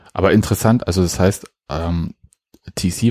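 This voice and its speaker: In a dry, close sound with no echo, a man talks at a moderate pace in a very deep, low pitch with a dark, mellow tone. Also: very clean recording, silent background. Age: older than co-host. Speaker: podcast co-host. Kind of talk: casual chat. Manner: halting.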